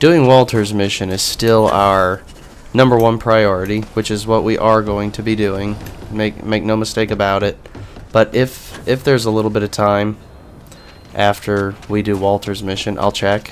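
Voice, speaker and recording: Noticeable background noise sits behind a man whose voice is fairly low in pitch. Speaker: gaming streamer. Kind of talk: let's play commentary.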